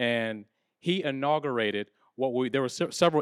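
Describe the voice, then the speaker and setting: A man's normal speaking voice at a moderate pace. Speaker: panel moderator. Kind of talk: panel moderation. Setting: live event with audience. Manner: casual, warm.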